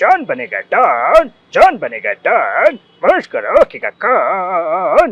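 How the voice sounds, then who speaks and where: In a put-on character voice, a man speaks in a sing-song way at a very slow pace. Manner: swaggering, rhythmic, sing-song.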